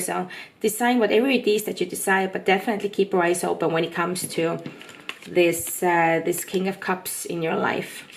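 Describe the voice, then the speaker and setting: The speaker keeps a moderate pace. Noticeable background noise runs underneath. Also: woman. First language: not English. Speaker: tarot reader. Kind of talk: tarot reading monologue. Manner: casual, hesitant with fillers.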